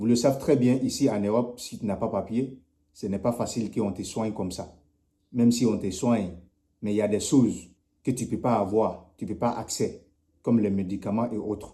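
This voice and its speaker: A man with a medium pitch and a dark, mellow tone speaks at a moderate pace with fairly even intonation, long, frequent pauses and big swings in loudness. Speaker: community activist making appeal videos. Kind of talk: charity appeal.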